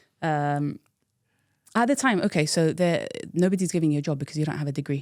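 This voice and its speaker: In a London accent, a woman with a very deep, low voice talks at a very fast pace on a very clean recording with a silent background. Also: ordinary pitch variation. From London, England (teen years in Iraq). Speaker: tech professional. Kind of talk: interview storytelling.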